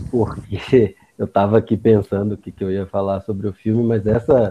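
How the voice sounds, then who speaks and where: At a moderate pace, a man talks at medium pitch in an ordinary speaking voice. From Bahia, Brazil (Barreiras, western Bahia). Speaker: psychiatrist. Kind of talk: casual chat.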